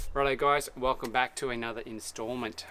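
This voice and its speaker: Noticeable background noise accompanies a man with an Australian accent speaking at a fairly quick pace with lively intonation. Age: 40s. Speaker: apprentice carpenter and video blogger. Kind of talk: casual vlog talk to camera. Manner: halting, many fillers and restarts.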